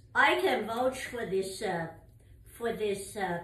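A woman speaks at a very slow pace with ordinary pitch variation. Room echo is audible. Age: 80s+. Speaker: mother of the channel owner. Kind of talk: casual chat. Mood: warm, enthusiastic. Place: home room. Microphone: camera far.

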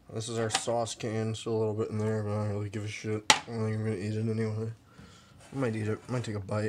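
Over loud background noise, this man's words come at a very fast pace. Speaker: vlogger. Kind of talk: casual vlog chat. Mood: disgusted, amused, agitated. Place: kitchen. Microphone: phone near.

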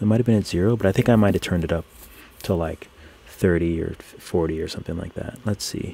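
A relaxed man's voice, fairly low-pitched, with a dark, mellow tone, ordinary pitch variation and a fairly quick pace. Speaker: digital artist live streamer. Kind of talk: live stream chat while drawing. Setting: live stream, computer nearby. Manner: relaxed, casual; gets overexcited, speeds up.

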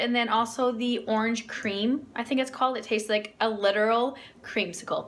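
The delivery has a moderate pace and fairly even intonation. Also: woman. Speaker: food vlogger. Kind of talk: casual vlog chat. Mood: cheerful, relaxed. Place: kitchen. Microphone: phone near.

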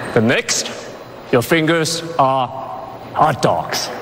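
A man with a fairly high pitch speaks over noticeable background noise. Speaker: award presenter, action star. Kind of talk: award ceremony presentation speech. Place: stage.

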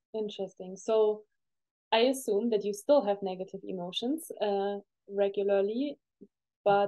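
The pace is moderate. The background is quiet. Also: woman. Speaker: podcast host. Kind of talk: interview. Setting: video call. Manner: enthusiastic. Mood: calm, curious. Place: home room.

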